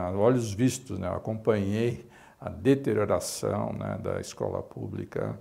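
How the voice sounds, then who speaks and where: A man's dark, mellow voice sits fairly low with vocal fry. He speaks at a fairly slow pace. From São Paulo, East Zone (Brazil); São Paulo, Brazil. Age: 60s. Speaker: physician and medical association director. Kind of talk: interview testimony. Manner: halting, many fillers. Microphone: lapel.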